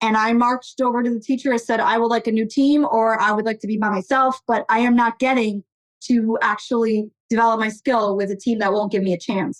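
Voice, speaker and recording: At a fairly quick pace, a woman with an American accent and a plain, everyday voice speaks at a fairly high pitch, with fairly even intonation and very even loudness. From Portugal, raised in US from childhood. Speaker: technology executive. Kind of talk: interview.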